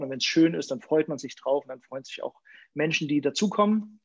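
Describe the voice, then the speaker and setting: Man with an ordinary speaking voice, fairly high in pitch, with ordinary pitch variation. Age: 40s. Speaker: pastor. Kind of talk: sermon; casual chat.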